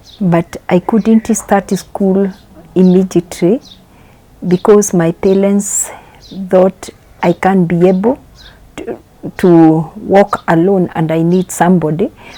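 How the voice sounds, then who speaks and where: A woman speaks at a very slow pace and medium pitch, with fairly even intonation and long, frequent pauses. The sound is dry and close with no echo, though noticeable background noise is present. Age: 60s. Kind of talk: testimony.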